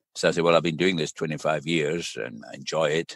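The voice shows vocal fry. The sound is dry and close, with no echo. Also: man. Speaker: public health doctor and professor. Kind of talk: interview.

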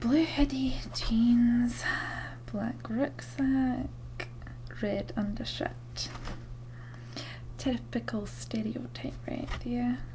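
A soft-spoken woman talks at a very slow pace with long, frequent pauses over light background noise. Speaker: witness. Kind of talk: role-play interview questions. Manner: soft, murmured while writing notes. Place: home room. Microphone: webcam.

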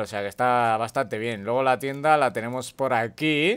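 The man's voice sits at a medium pitch and moves at a moderate pace, recorded very cleanly against total silence. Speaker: gaming youtuber. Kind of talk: casual gameplay commentary. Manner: animated.

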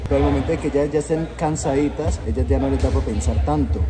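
The speech comes at a very fast pace over loud background noise. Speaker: streamer holding phone. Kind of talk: casual vlog chat. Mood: joking, playful banter. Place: gym. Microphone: phone near.

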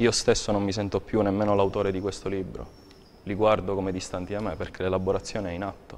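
Over light background noise, a man speaks very fast in a fairly low, monotone, flat voice. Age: 30s. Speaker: poet. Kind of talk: interview. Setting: TV studio. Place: studio. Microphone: lapel.

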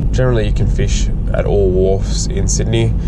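Over loud background noise, a man's voice comes through dry with no echo. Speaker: fishing vlogger driving. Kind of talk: casual vlog chat. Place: car. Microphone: phone near.

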